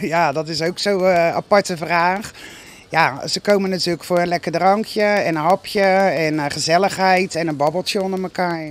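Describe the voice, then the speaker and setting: Speaking at a fairly slow pace, a woman's fairly low voice comes through dry, with no echo. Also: fairly even intonation. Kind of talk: interview answer. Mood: proud, cheerful. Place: bar. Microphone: handheld.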